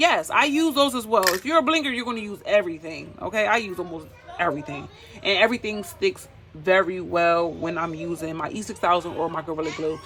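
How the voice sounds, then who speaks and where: Lively intonation at a fairly quick pace, with music in the background. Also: woman, fairly low pitch for a woman. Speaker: DIY crafts YouTuber. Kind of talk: tutorial. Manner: casual, chatty.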